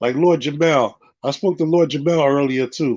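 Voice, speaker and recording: A man speaks in a normal speaking voice, pitched fairly high for a man. His pitch varies in an ordinary way, and his pace is moderate. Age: 50s. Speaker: religious teacher. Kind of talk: casual chat. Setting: livestream.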